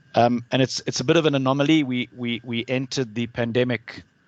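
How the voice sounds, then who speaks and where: A man with a South African accent talks with fairly even intonation, the sound dry and close with no echo over a quiet background. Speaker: alumnus asking a question at an online talk. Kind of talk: Q&A question at webinar. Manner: halting, many repetitions.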